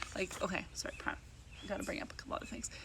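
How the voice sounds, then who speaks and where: Female speech with noticeable background noise and audible echo from the room. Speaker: vlogger and network marketer. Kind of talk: casual vlog monologue. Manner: chatty, fast, filler-heavy.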